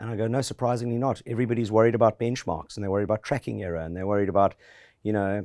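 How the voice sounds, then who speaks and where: Recorded very cleanly against a silent background, a man speaks with a fairly low pitch and a dark, mellow tone. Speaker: fund manager. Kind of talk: interview. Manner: animated.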